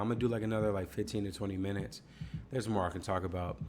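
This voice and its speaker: This is a man's voice. He speaks with a slight Southern US accent. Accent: slight Southern twang on certain words. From US South. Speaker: gaming YouTuber. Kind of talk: casual chat. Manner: casual, slangy.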